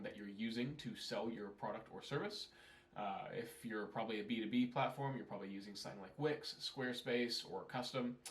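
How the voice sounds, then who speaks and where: There is audible room echo as a man with an American accent speaks. His pitch is medium and his pace fairly quick. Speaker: email marketing consultant. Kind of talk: tutorial. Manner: casual, conversational.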